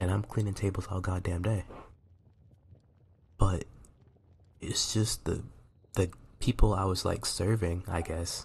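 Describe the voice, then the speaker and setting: A man is whispering quietly. His voice is somewhat breathy. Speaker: college student. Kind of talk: casual video diary ramble. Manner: whispered, quiet.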